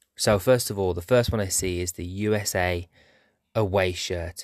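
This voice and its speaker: With a plain, everyday voice, a man speaks at a fairly low pitch and with fairly even intonation, the sound dry and close with no echo. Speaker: football shirt podcast host. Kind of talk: solo walk-through monologue recorded on phone at exhibition. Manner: musing, stream-of-consciousness commentary describing each shirt aloud.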